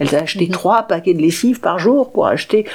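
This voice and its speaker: Noticeable background noise sits behind a woman speaking with lively intonation. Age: 60s. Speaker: writer and speaker with paraplegia. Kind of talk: radio interview. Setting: dark radio studio.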